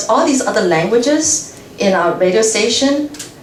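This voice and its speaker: A woman's lively intonation at a fairly slow pace, with audible room echo. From Taiwan. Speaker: radio translator and host. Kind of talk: guest talk with Q&A. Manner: stutters, many fillers.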